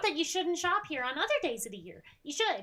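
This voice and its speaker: A squeaky, put-on character voice from a female-sounding speaker, pitched extremely high for a woman, raised and projected, at a fairly quick pace. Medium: actual play. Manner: bubbly, friendly.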